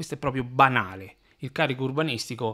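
A man's bright, sharp voice against a quiet background. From Italy. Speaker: building surveyor explaining housing law. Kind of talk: solo explainer video. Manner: hesitant, many fillers. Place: home room. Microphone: studio mic.

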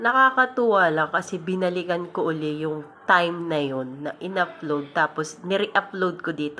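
Speaking at a moderate pace over noticeable background noise, a woman has a fairly low pitch. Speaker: content creator. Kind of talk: casual vlog monologue. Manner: breathy, sounds out of breath while talking; unscripted, spontaneous.

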